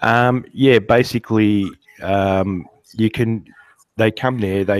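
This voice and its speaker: A man speaks with fairly even intonation. The recording is dry and close, with no echo. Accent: Australian. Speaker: guest beekeeper. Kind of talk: casual interview. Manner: halting; soft-spoken. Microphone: too quiet.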